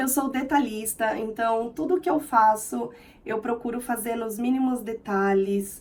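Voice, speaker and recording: This is a woman speaking. She has a São Paulo accent. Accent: Brazilian Portuguese, São Paulo (paulistano). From Brazil, São Paulo city. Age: 30s. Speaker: vlogger. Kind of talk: casual vlog self-introduction. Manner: expressive.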